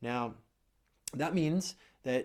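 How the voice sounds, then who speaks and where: The recording is very clean, its background silent. An ordinary speaking voice carries ordinary pitch variation. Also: man. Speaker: dating coach. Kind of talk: advice monologue.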